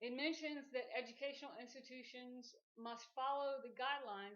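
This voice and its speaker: A woman speaks with a high pitch. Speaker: nursing student with traumatic brain injury. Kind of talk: class speech to an audience. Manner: slow.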